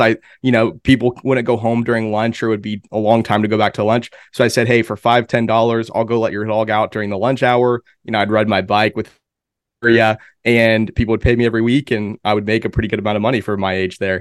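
A man with an American accent and a plain, everyday voice, medium pitch, fairly even intonation and a fairly quick pace, on a very clean, dry, close recording with no echo and a silent background. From Pennsylvania. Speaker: marketing strategist. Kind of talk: casual interview.

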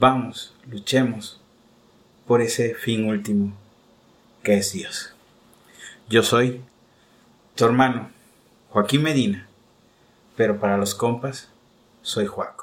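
A man talks at a very slow pace with fairly even intonation. He leaves long, frequent pauses. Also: medium pitch for a man. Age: 30s. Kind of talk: spiritual reflection.

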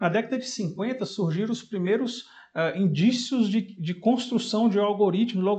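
A man talks with a high pitch. He keeps a moderate pace and ordinary pitch variation. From Brazil, Fortaleza (Ceará). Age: 40s. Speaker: software architect and tech entrepreneur. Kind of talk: podcast interview. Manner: hesitant, many fillers.

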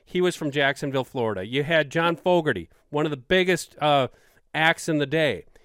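Fairly high male voice, ordinary pitch variation throughout. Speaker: hunting podcast host. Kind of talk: casual chat.

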